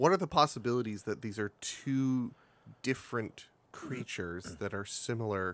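Lively intonation marks a man's medium-pitched delivery in an unremarkable speaking voice. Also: moderate pace. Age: 30s. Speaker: podcast guest. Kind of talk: casual chat.

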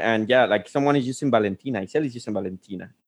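A man speaks with a Spanish accent. His intonation is lively. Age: 40s. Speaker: live stream host. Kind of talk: casual chat. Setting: video call.

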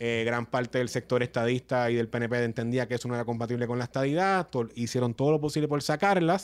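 Very fast, with ordinary pitch variation, a man talks at medium pitch on a very clean recording with a silent background. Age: 30s. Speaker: politician. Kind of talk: casual chat.

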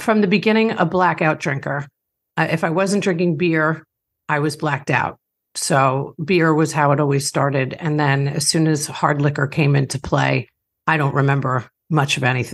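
In a slight New York accent, a woman with a very deep, low pitch talks at a moderate pace and very even loudness, with ordinary pitch variation over a quiet background. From Long Island, New York. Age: 50s. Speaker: author and recovery podcaster. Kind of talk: interview, personal testimony.

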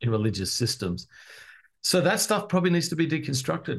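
Over a quiet background, a man speaks in a somewhat breathy voice with very wide pitch swings. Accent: American. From Australia, Adelaide. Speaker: pastor and author. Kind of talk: interview.

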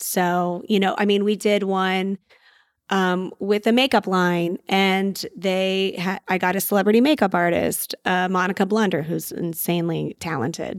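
Fairly slow and fairly even in intonation, a woman speaks in a very clean recording with a silent background. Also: medium pitch for a woman, dry, close sound with no echo. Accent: Texan. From US South, San Antonio, Texas. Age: 40s. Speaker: mom entrepreneur and web show creator. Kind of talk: casual interview chat.

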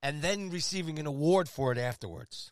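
Here a man speaks with an American accent in a fairly high pitch, swinging very widely up and down. The recording is very clean, with a silent background. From New York. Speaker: sports radio host. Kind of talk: casual banter, sports talk show. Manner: animated, excitable.

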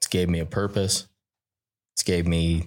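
Flat and monotone, the speech comes with an American accent. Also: man, very clean recording, silent background. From Utah. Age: 20s. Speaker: rodeo cowboy. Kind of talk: casual chat.

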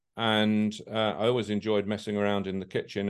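A man talks with a southern English accent at a moderate pace. His voice sits fairly low. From London. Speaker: hotel company chairman. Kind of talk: interview. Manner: halting.

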